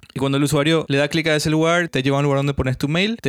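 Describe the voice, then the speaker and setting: A very fast, fairly high-pitched man's voice with fairly even intonation, on a very clean recording with a silent background. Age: 30s. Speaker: podcaster and software developer. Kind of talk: solo tech podcast monologue. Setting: hot home studio.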